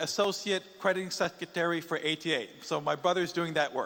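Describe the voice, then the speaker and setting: Speaking with an English accent, a man with a high voice talks at a fairly slow pace and fairly even intonation. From Singapore and Taiwan, Chinese-speaking Asia. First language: English (speaking Korean). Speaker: missionary. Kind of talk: conference speech with interpreter.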